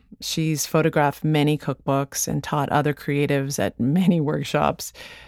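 On a very clean recording with a silent background, a woman with a Canadian accent speaks at a moderate pace in a very deep, low pitch. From Canada. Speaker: podcast host. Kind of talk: scripted narration.

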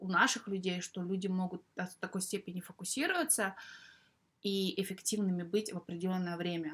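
A woman with a medium pitch and fairly even intonation is captured on a very clean recording with a silent background. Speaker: podcast host. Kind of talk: casual chat.

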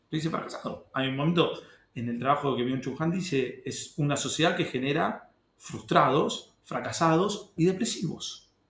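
Audible room echo surrounds a man speaking at a moderate pace with a fairly high pitch and ordinary pitch variation. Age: 30s. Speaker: secondary school history teacher. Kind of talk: casual interview conversation.

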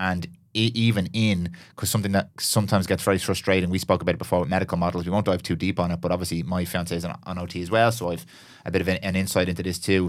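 A man with an Irish accent, very deep and low in pitch, flat and monotone at a very fast pace, on a very clean recording with a silent background. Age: 30s. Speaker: podcast host. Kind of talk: casual chat.

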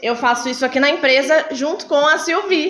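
Speaking at a moderate pace with lively intonation, a woman's high voice carries audible room echo and noticeable background noise. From Sorocaba, São Paulo state, Brazil. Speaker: company diversity group member. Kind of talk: talk to students.

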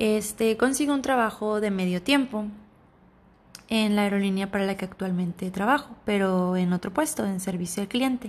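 Over a quiet background, a woman with a somewhat breathy voice speaks at a moderate pace and medium pitch, with ordinary pitch variation. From Sonora, Mexico. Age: 20s. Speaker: flight attendant. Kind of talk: casual monologue. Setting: home recording. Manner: halting.

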